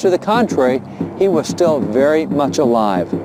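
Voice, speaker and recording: The speech has lively intonation, heard over noticeable background noise. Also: man. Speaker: historian and presenter. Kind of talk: documentary narration. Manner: fast.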